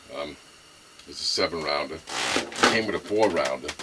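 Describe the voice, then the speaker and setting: A man with a Brooklyn accent speaks at a fairly quick pace in a very deep, low voice. Noticeable background noise runs under the recording. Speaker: gun enthusiast video maker. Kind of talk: casual show-and-tell. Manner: halting, many fillers.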